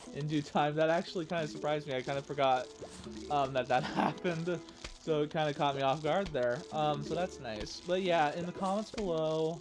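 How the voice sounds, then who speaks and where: A man speaks at a fairly high pitch while music plays in the background. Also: ordinary pitch variation, fairly quick pace. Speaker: gaming video creator. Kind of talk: let's play commentary. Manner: halting, stuttering.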